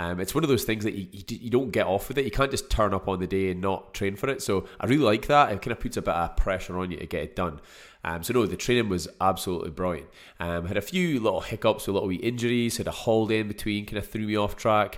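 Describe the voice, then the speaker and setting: Very fast speech in a Scottish accent with ordinary pitch variation, in a very clean recording with a silent background. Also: man, fairly low pitch for a man. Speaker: podcast host and fitness business owner. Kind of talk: casual solo podcast monologue. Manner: casual, chatty, filler words.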